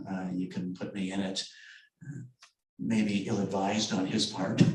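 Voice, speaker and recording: In a Canadian accent, a man with a fairly low voice speaks at a moderate pace, with audible room echo. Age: 60s. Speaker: novelist. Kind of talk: book event discussion.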